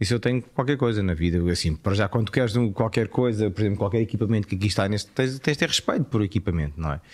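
A man with a fairly low pitch talks at a very fast pace in a European Portuguese accent, with hardly any pauses. The recording is very clean, with a silent background. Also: ordinary pitch variation. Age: 40s. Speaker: actor and TV presenter. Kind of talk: casual chat.

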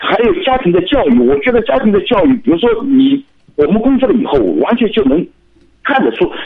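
Swinging very widely in pitch, a man speaks at an extremely high pitch and a fairly quick pace. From Shanghai. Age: 50s. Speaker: caller. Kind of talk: radio call-in. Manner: halting.

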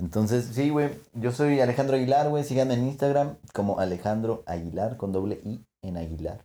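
A man's dark, mellow voice with lively intonation. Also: medium pitch for a man, moderate pace. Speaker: podcast co-host. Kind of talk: casual chat. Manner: animated.

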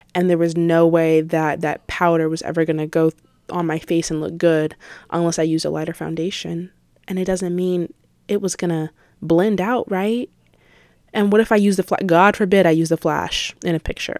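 A woman with a fairly low pitch talks in an ordinary speaking voice. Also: moderate pace. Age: young (18). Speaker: podcast host, college student. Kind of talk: casual solo podcast monologue.

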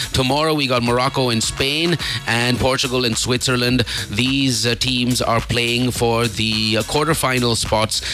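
Over noticeable background noise, the speaker keeps a fairly slow pace, fairly even intonation and very even loudness. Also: man, medium pitch for a man. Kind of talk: radio DJ patter: morning-show banter with time checks, headlines and sponsor plugs. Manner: chatty and casual, with fillers and laughing asides.

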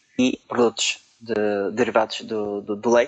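A man with a Madeiran accent at a fairly slow pace. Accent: European Portuguese, Madeiran. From Portugal, Madeira island. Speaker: supply chain analyst. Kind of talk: interview. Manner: halting, many fillers.

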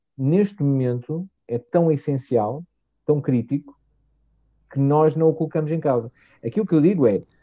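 The tone is dark and mellow, at a moderate pace with long, frequent pauses. The sound is dry and close, with no echo. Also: man, fairly high pitch for a man, ordinary pitch variation. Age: 40s. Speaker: technology marketing director. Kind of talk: casual interview chat. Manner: halting, many fillers.

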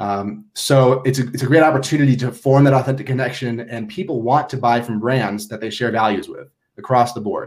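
Somewhat breathy and medium in pitch, a man talks at a fairly quick pace with hardly any pauses, fairly even intonation and big swings in loudness. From Minnesota. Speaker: branding agency founder. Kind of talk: interview.

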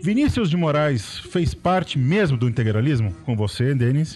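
Over noticeable background noise, a man talks at a fairly high pitch with very wide pitch swings. His loudness stays very even and he makes hardly any pauses. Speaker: history podcast co-host. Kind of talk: casual history discussion. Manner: animated, laughs often.

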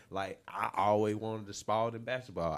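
An American-accented man with an unremarkable speaking voice talks at a fairly quick pace and a fairly low pitch. The recording is very clean, with a silent background. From Chicago, later Riverdale, Georgia. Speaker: music producer and manager. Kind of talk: casual chat.

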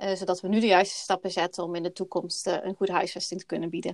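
A woman speaks at a medium pitch, recorded with a dry, close sound and no echo. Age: 30s. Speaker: housing consultant. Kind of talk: podcast interview. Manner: hesitant, many fillers.

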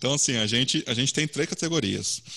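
A man's voice sits fairly high in pitch and has a bright, sharp tone. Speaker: web design community organizer. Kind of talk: online meetup presentation.

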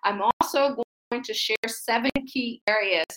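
Her voice is fairly high in pitch, bright and sharp, with an animated tone, ordinary pitch variation and an American accent, and the woman is recorded with a dry, close sound with no echo. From US Midwest (Akron, Ohio). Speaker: faith-based business coach. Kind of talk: motivational livestream talk. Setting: livestream with chat.

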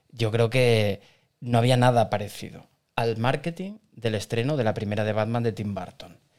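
A man talks at a moderate pace in a medium pitch. He has an ordinary speaking voice with ordinary pitch variation. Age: 40s. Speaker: podcast co-host. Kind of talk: casual chat.

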